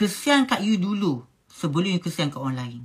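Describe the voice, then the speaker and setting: The woman's moderately paced speech sits over a quiet background. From Malaysia. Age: 30s. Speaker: business owner and vlogger; vlogger. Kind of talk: casual advice monologue to viewers. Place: home room. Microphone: phone near.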